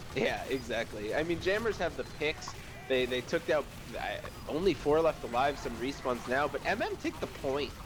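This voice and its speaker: With music in the background, a man talks at a moderate pace using lively intonation. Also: fairly high pitch for a man. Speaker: esports match shoutcaster. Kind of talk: live game shoutcast commentary. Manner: casual, joking with co-caster.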